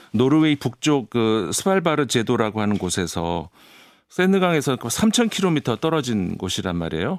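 A medium-pitched man at a moderate pace, with very wide pitch swings, on a very clean recording with a silent background. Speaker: international affairs commentator. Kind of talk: explanatory commentary chat. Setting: studio.

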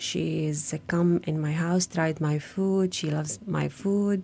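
The recording is very clean, with a silent background. A woman speaks very slowly in a dark, mellow tone. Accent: Arabic. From Gaza, Palestine. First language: Arabic. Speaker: refugee home chef. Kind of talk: testimony. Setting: studio. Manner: halting.

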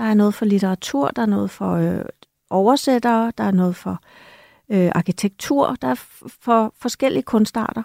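A woman's normal speaking voice at medium pitch and moderate pace, with lively intonation, a dry, close sound with no echo, and a very clean recording with a silent background. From Denmark. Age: 50s. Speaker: author and journalist. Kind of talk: radio discussion. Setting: studio.

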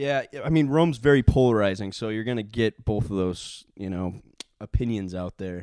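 Heard in a dry, close sound with no echo, a man with an American accent speaks at a moderate pace in a fairly low voice with a dark, mellow tone, ordinary pitch variation and big swings in loudness. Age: 20s. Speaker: entrepreneur, former radio producer. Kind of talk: casual interview chat.

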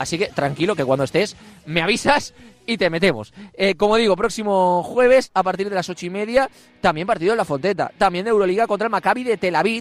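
A man speaks at a very fast pace, his pitch high with ordinary variation. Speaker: sports radio host. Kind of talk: live radio show. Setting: outdoors outside club offices.

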